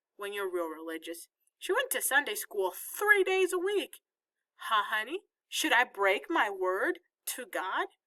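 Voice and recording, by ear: Against a quiet background, a person reads aloud in a natural voice.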